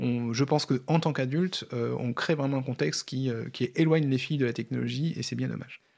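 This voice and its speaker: Hardly pausing at all, a man keeps up a fairly quick pace. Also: medium pitch for a man, ordinary pitch variation. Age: 40s. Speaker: software developer and coding workshop co-founder. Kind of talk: radio interview. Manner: halting, many repetitions.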